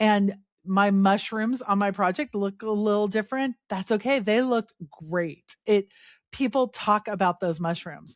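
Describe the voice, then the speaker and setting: Woman with an unremarkable speaking voice, medium pitch, ordinary pitch variation and moderate pace, on a very clean recording with a silent background. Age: 50s. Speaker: podcast host. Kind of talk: solo podcast talk. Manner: casual, conversational with fillers.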